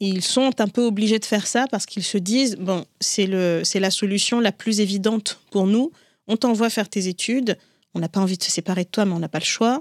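Recorded very cleanly with a silent background and a dry, close sound with no echo, a woman at a medium pitch speaks at a moderate pace with ordinary pitch variation and big swings in loudness. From Africa, Comorian family, raised in several African countries. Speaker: writer and entrepreneur. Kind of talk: interview. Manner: halting, with frequent repetitions.

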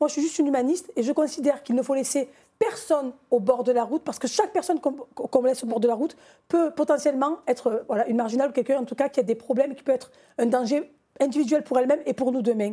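A woman talks at a very fast pace in a high voice with a dark, mellow tone. Her pitch variation is ordinary. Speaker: association president and community activist. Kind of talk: televised political debate. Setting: TV studio.

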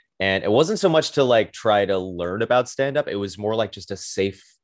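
In front of a quiet background, a man with an American accent speaks at a fairly quick pace. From Brooklyn, New York. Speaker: comedian. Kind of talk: casual chat.

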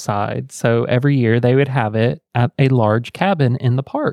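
A man with an Indiana accent talks at a moderate pace, the sound dry and close with no echo. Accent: Indiana country twang. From US Midwest. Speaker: podcast co-host. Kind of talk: casual chat.

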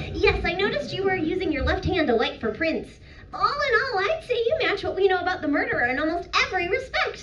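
A female-sounding voice puts on a character voice at an extremely high pitch. She speaks at a very fast pace over clear background noise. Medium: actual play. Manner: eager, polite, stammering.

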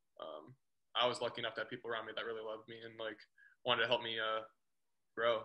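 This man talks very fast at a medium pitch, breaking it up with long, frequent pauses. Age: 20s. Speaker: chiropractor, podcast co-host. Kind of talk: casual chat. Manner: animated.

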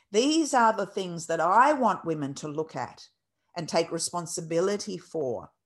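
A woman with an Australian accent, fairly low in pitch, with lively intonation over a quiet background. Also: moderate pace. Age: 50s. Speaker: birth educator and dance teacher. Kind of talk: interview. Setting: video call. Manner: passionate.

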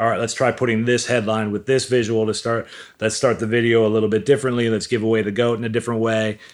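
This man talks at a very fast pace and medium pitch. His intonation is monotone and flat. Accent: American. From US Midwest, Milwaukee. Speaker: digital marketing entrepreneur, author. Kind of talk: casual interview chat.

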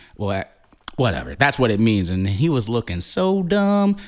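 On a very clean recording with a silent background, a man speaks in an animated tone. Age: 30s. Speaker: podcast host. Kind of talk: casual monologue. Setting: recording alone.

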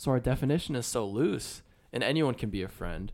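A man with a plain, everyday voice, lively intonation and a fairly quick pace, on a very clean recording with a silent background. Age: 20s. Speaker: college student. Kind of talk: casual chat.

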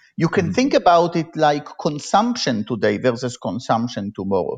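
A man speaks at a fairly high pitch with very wide pitch swings and vocal fry. The background is quiet. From Israel. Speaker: economics professor. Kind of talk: interview.

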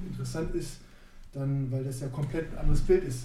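Audible room echo and noticeable background noise run through the clip. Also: man. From northern Germany, Neustadt near Hannover. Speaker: basketball coach and former pro player. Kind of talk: casual chat.

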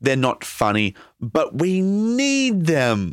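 A man speaks in an Australian accent. The recording is very clean, with a silent background. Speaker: podcast co-host, comedian. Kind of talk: casual chat. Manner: animated.

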